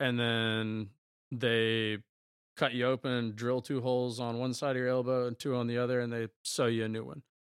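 At a moderate pace, a man with an American accent speaks at a medium pitch in a flat monotone, the sound dry and close with no echo. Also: very clean recording, silent background. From rural eastern North Carolina. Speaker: former college baseball player. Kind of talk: casual interview.

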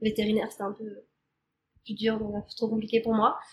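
A woman speaks in a somewhat breathy voice with a fairly high pitch. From Normandy, France. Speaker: podcast guest. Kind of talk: casual interview. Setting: in person.

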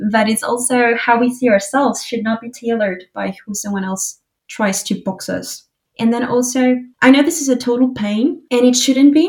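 Her voice high for a woman, she moves at a moderate pace with ordinary pitch variation. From Uruguay. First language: Spanish. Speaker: financial advisor. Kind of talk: casual chat.

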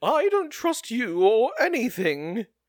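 Putting on a character voice, a man speaks at an extremely high pitch and fairly slow pace with very wide pitch swings. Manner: distrustful.

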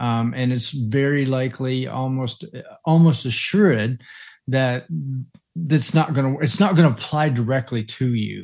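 An unremarkable speaking voice from a man, medium pitch, ordinary in how the pitch varies. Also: fairly slow pace. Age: 50s. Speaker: parenting podcast co-host and life coach. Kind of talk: casual chat.

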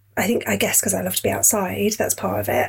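Noticeable background noise sits under the recording. The voice belongs to a woman. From Yorkshire. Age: 30s. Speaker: fitness client. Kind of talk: casual interview chat.

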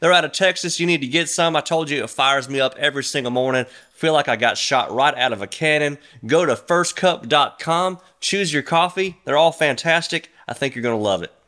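On a very clean recording with a silent background, a man with a Mississippi accent speaks at a fairly quick pace in a fairly high pitch, his tone bright, sharp, and animated, with ordinary pitch variation. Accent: US Southern (Mississippi). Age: 40s. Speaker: podcast host. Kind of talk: casual monologue; religious exhortation.

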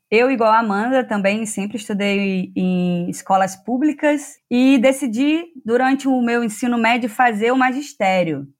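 A woman with a normal speaking voice and fairly high pitch speaks at a fairly slow pace with hardly any pauses. Her pitch varies in an ordinary way, and the recording is very clean with a silent background. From Rio de Janeiro state, Teresópolis. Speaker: PhD student in agronomy. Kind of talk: interview.

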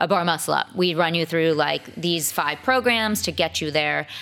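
Her voice very deep and low, a woman speaks with an American accent. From Massachusetts, Boston suburbs. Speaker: fitness coach and masters athlete. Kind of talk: interview.

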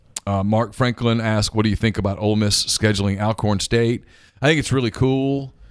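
A man with an American accent uses a plain, everyday voice at a fairly low pitch and a fairly quick pace. His intonation is fairly even and his loudness very even, on a very clean recording with a silent background. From US South, Louisiana. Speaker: podcast host. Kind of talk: casual sports and news chat.

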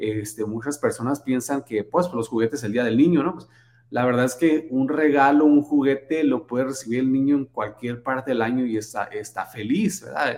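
Using a normal speaking voice, a man of medium pitch talks at a moderate pace with ordinary pitch variation and hardly any pauses. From Sonora, Mexico. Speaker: charity foundation founder. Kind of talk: casual interview. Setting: home office.

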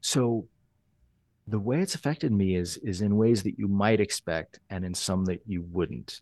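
A man speaks with a fairly low, dark and mellow voice and ordinary pitch variation. The background is quiet. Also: fairly slow pace. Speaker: photographer. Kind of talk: casual conversational podcast interview.

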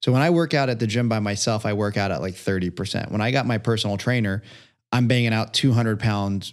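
A man with a plain, everyday voice, fairly low in pitch, at a fairly quick pace with ordinary pitch variation over a quiet background. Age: 30s. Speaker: entrepreneur and coach. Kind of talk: casual chat.

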